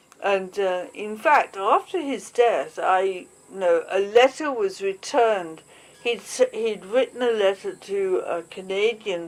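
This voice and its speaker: A woman's pitch varies in an ordinary way as she talks at a fairly slow pace. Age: 60s. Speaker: interviewee recalling climbing community. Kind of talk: interview. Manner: halting, many fillers.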